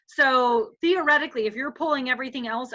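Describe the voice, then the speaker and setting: A woman with an American accent speaks in a raised, projected voice, high in pitch and bright and sharp in tone. Her pitch varies in an ordinary way. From Wisconsin, US Midwest. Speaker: urban farming educator. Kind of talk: online workshop presentation. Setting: video call. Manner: fast.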